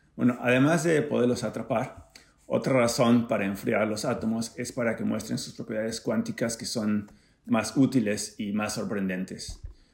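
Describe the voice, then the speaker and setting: In an unremarkable speaking voice of medium pitch, a man talks at a moderate pace with fairly even intonation. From Mexico, Acapulco (Guerrero). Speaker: physics professor. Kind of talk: scripted narration.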